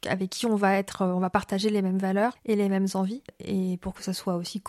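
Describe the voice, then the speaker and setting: A woman speaks at medium pitch with a dark, mellow tone. Her intonation is monotone and flat, and the sound is dry and close with no echo. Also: very clean recording, silent background. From France, raised abroad (Spain, Morocco, Argentina). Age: 30s. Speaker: business founder and career coach. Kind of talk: interview. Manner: hesitant, many fillers.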